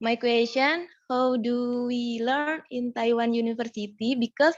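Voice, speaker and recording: A high-pitched woman's voice at a fairly slow pace, the sound dry and close with no echo. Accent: Indonesian. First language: Indonesian. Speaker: audience member asking a question. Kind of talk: question in online seminar. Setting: video call.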